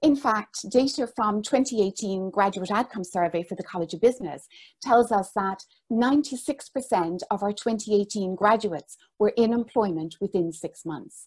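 Against a quiet background, a woman with an Irish accent speaks at a fairly slow pace in a somewhat breathy voice. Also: ordinary pitch variation. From Ireland. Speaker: business school director. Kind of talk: formal presentation. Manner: formal. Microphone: earbuds.

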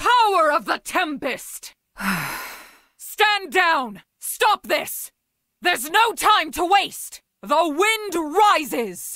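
Putting on a character voice, a woman speaks extremely high and very slowly, with very wide pitch swings and long, frequent pauses. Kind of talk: video game character voice lines. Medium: video game. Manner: stern, commanding.

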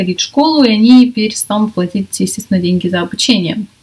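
A woman speaks in an ordinary speaking voice. Her pitch sits fairly high, and her intonation is lively. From Russia. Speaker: English teacher and video blogger. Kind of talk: casual vlog talk to camera. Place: home room. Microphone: webcam.

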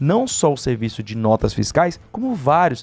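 His voice sits fairly high in pitch for a man and carries a dark, mellow tone. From Brazil. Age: 20s. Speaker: online money-making YouTuber. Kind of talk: screen-share tutorial. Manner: animated. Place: home room. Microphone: studio mic.

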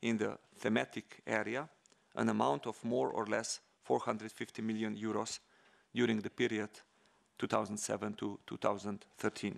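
Against a quiet background, a man speaks fairly slowly at a fairly low pitch, with vocal fry. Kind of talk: formal speech. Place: hall. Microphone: podium.

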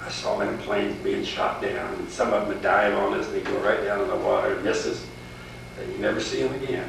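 Amid audible room echo and noticeable background noise, a man speaks at a very fast pace. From Indiana, Montgomery County. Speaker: war veteran. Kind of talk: oral history interview. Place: home room. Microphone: old recording.

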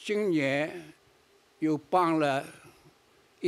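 A man talks with a pitch that sits fairly high. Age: 80s+. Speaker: charity founder and leader. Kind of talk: award acceptance speech. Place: stage. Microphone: podium.

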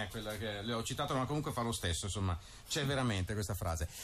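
Light background noise accompanies a man speaking with ordinary pitch variation. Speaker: radio host. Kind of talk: radio interview. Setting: radio studio. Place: studio. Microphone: studio mic.

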